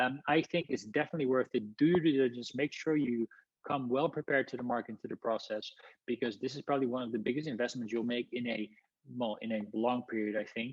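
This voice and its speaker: At a very fast pace, a man talks in a medium pitch. His pitch varies in an ordinary way. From Netherlands. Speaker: housing consultant, company founder. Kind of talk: webinar presentation. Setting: live webinar. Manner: energetic.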